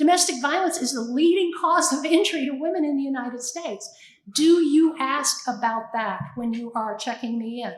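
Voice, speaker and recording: A woman talks in a high pitch with lively intonation. Audible room echo fills the recording. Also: moderate pace. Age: 70s. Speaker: domestic violence shelter leader. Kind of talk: panel talk.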